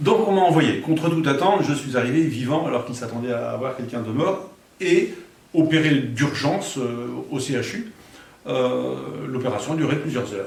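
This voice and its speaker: Amid noticeable background noise and audible room echo, a man with a fairly high pitch talks at a moderate pace with lively intonation. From France, Alençon (Normandy). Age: 60s. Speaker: near-death experience witness. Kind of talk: testimony. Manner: halting.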